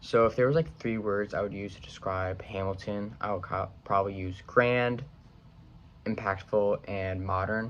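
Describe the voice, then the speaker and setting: A normal speaking voice from a man with an American accent, fairly low in pitch with ordinary pitch variation, at a fairly slow pace. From Long Island, New York. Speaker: college student. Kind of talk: class video assignment. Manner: casual, with many fillers.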